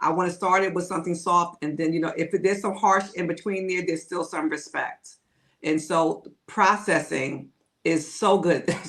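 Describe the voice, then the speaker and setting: At a moderate pace, a woman with an unremarkable speaking voice talks at a fairly low pitch with fairly even intonation. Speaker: podcast co-host. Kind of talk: casual chat.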